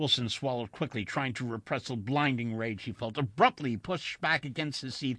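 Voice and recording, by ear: A natural voice reads the text aloud.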